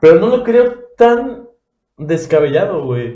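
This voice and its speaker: A man with a Mexican accent speaks at a fairly slow pace, in a dark, mellow tone that is somewhat breathy. Audible room echo surrounds the voice. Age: 20s. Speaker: podcast co-host. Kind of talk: casual chat.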